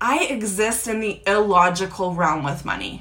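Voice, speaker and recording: Room echo is audible as a woman speaks at a medium pitch with ordinary pitch variation. Noticeable background noise is also there. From United States (born in Croatia, moved at six). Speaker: podcast host and business coach. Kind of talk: live social media training. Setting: Instagram live video.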